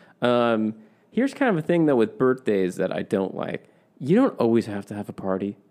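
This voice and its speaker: A man's medium-pitched, ordinary speaking voice at a fairly quick pace. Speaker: podcast co-host. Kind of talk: casual chat.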